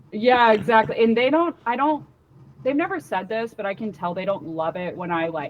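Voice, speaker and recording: A woman with an American accent, very wide pitch swings and a moderate pace, over noticeable background noise. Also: fairly high pitch for a woman. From Washington DC area. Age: 20s. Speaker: comedian. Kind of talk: casual interview chat. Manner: casual, filler-heavy.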